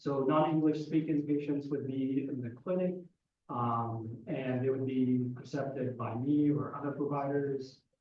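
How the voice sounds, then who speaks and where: Audible room echo surrounds a man with a fairly high voice who speaks at a fairly slow pace with fairly even intonation. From Egypt. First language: Arabic. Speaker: psychiatrist. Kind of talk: audience question at lecture.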